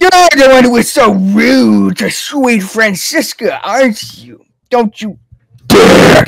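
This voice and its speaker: Fairly slow delivery in a put-on character voice pitched fairly high. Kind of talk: theatrical. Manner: scolding, dramatic.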